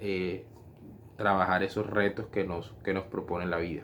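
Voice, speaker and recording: A man's fairly low voice in a monotone, flat intonation. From Colombian Caribbean coast (Barranquilla). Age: 40s. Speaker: philosophy and religious education student. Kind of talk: personal reflection monologue. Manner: halting, many fillers and repetitions.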